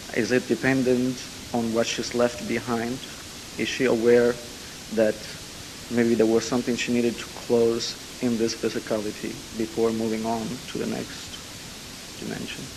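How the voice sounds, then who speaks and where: Amid noticeable background noise, a man at a medium pitch speaks in a monotone, flat intonation at a moderate pace, with long, frequent pauses. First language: Italian. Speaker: audience member asking a question. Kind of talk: question and answer. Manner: hesitant.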